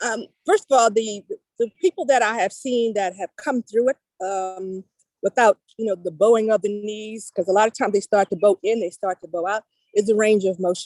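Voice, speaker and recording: A woman's fairly high pitch, ordinary pitch variation and moderate pace, an unremarkable speaking voice in a dry, close sound with no echo. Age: 60s. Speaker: personal trainer and knee pain specialist. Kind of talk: interview. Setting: outdoors.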